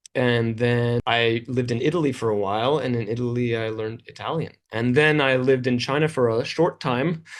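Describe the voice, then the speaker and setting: An unremarkable speaking voice from a man with a Canadian accent, medium in pitch, fairly even in intonation, fairly quick and with hardly any pauses. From Canada. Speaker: English teacher and video creator. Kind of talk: interview.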